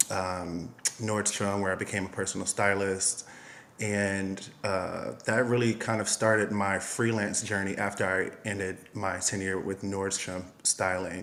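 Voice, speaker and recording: Speaking with an American accent, a man talks fairly slowly at a fairly low pitch in a flat monotone. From US, Miami, Florida. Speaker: costume designer and stylist. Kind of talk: interview.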